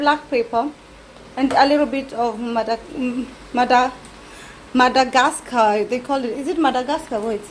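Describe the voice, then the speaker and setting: With a Kenyan accent, a woman speaks at a high pitch and moderate pace over noticeable background noise. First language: Kikuyu. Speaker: cooking vlogger. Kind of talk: cooking tutorial. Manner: casual, halting.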